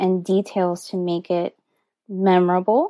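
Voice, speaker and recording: A woman speaks with a Miami accent at a medium pitch, her tone dark and mellow. The sound is dry and close, with no echo. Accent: Miami American English. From US, Miami, Florida. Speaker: DJ. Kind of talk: interview conversation. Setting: home studio, remote call.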